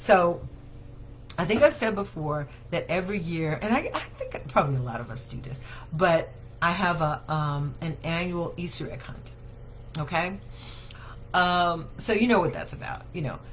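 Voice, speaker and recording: Somewhat breathy and fairly low, a woman's voice moves with lively intonation. Audible room echo surrounds it. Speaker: daycare owner and show host. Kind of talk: live Q&A show. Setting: Facebook livestream.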